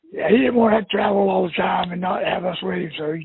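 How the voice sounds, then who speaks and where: In a Florida accent, a man talks at a very fast pace. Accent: Southern US (Florida). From northeast Florida (Jacksonville). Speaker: prospective customer. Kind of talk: phone conversation. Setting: phone call.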